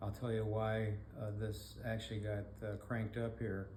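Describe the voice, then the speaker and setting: In an American accent, a man speaks fairly slowly at fairly low pitch, somewhat breathy with a dark, mellow tone and a monotone, flat intonation, amid audible room echo. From Michigan. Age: 70s. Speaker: blind rehab specialist. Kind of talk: podcast monologue. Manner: halting, many fillers.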